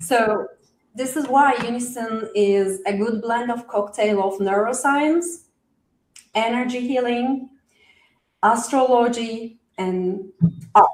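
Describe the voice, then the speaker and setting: Very slow speech in a non-native accent, with ordinary pitch variation and long, frequent pauses. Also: woman, fairly high pitch for a woman. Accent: noticeable foreign. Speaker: coach explaining a wellness methodology. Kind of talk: live interview. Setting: live stream with chat.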